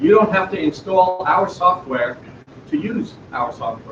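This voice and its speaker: A man speaks loudly at a moderate pace with a high pitch. Noticeable noise sits in the background. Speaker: startup presenter. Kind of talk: pitch presentation.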